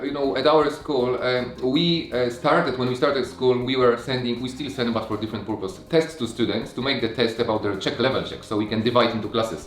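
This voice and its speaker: Man at a fairly quick pace with hardly any pauses, medium pitch and ordinary pitch variation, amid noticeable background noise and audible room echo. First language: not English or Japanese. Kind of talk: casual chat. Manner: halting.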